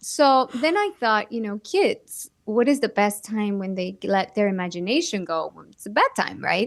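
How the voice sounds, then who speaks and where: A woman with a Spanish accent and a fairly high pitch speaks at a fairly slow pace with hardly any pauses against a quiet background. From Mexico. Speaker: actress and children's book author. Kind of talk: interview conversation.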